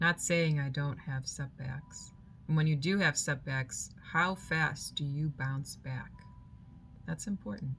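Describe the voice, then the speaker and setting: With music in the background, the speech moves at a fairly slow pace with ordinary pitch variation. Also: woman, very deep, low pitch for a woman. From moved from Germany to the US as a child. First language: German. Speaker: spiritual vlogger. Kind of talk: reflective personal monologue.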